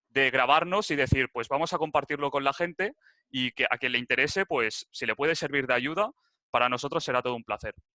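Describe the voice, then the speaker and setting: Fairly high in pitch, a man speaks at a fairly quick pace with a bright, sharp tone. The sound is dry and close with no echo. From Spain, Barcelona (Catalonia). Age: 21. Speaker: crypto enthusiast presenter. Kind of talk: tutorial presentation. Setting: video call. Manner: casual, some hesitations.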